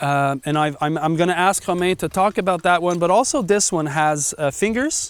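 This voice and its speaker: A high-pitched man with a French accent, hardly any pauses, ordinary pitch variation and very even loudness. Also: moderate pace. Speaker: market gardener. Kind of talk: casual tool demonstration.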